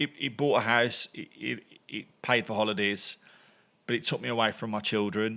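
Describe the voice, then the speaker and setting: With a Birmingham accent, a man speaks at a moderate pace and medium pitch, his tone bright and sharp with vocal fry and fairly even intonation. Long, frequent pauses break up his speech on a very clean recording with a silent background. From England, Birmingham. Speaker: former lawyer and entrepreneur. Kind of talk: podcast interview. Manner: halting.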